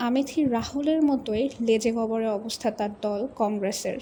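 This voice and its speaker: A woman with a high pitch keeps her intonation fairly even while noticeable background noise runs underneath. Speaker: voice acting student. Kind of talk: news documentary narration.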